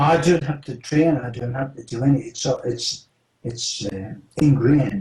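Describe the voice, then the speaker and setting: The voice has a dark, mellow tone, is somewhat breathy, and moves at a moderate pace with ordinary pitch variation. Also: man, medium pitch for a man. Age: 70s. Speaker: former special operative. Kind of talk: interview.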